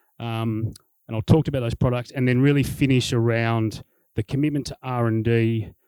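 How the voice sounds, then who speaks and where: Recorded with a dry, close sound and no echo, a man with an Australian accent speaks at a medium pitch in a dark, mellow tone. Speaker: business executive. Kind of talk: corporate presentation. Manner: fast; animated.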